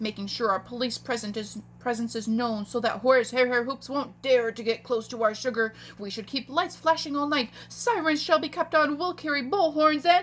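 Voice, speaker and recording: Using a put-on character voice, a woman speaks in a high pitch with lively intonation at a moderate pace, hardly pausing, over clear background noise. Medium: read story.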